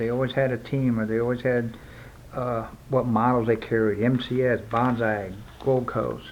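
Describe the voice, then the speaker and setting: Flat, monotone intonation marks this man's speech. He has a medium pitch and an American accent. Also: moderate pace. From US South, South Florida. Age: 60s. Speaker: BMX collector and former racer. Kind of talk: casual review. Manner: conversational, with fillers.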